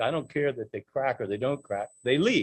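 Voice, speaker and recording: A man's voice moves through very wide pitch swings as he speaks. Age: 80s+. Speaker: public commenter at a county meeting. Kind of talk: public comment speech. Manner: impassioned.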